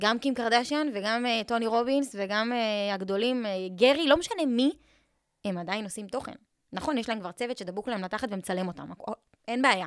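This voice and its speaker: Fairly quick pace and ordinary pitch variation, a normal speaking voice. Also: woman, fairly high pitch for a woman. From Israel, Eilat. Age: 20s. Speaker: social media content coach. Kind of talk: casual interview.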